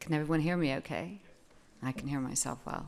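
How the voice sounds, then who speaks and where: A woman with an American accent, very deep, low pitch and ordinary pitch variation, amid audible room echo. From United States. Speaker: foundation trustee. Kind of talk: opening remarks. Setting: conference stage with audience. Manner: hesitant, with fillers.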